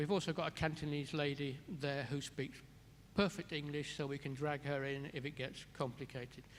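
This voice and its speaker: A man uses a normal speaking voice, holding fairly even intonation at a moderate pace. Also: fairly high pitch for a man. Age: 60s. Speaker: care resort director. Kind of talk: interview Q&A at a symposium.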